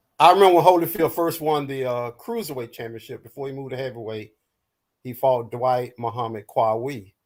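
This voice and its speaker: The man has an unremarkable speaking voice, medium pitch, ordinary pitch variation, a fairly quick pace and big swings in loudness. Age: 60s. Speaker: boxing panelist. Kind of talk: casual panel debate.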